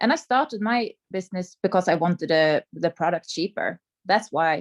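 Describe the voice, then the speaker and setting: Recorded dry and close with no echo against a quiet background, a woman speaks fairly slowly in a non-native accent. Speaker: sales coordinator. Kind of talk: personal story on training call. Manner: halting.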